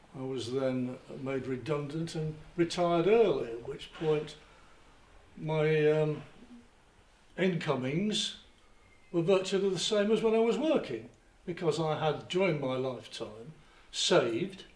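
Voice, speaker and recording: Amid audible room echo, a man with a fairly high voice and lively intonation speaks fairly slowly, with long, frequent pauses. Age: 70s. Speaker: retiree in audience. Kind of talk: public discussion.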